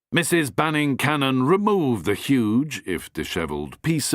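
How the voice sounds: The intonation here is lively. It belongs to a natural reading voice.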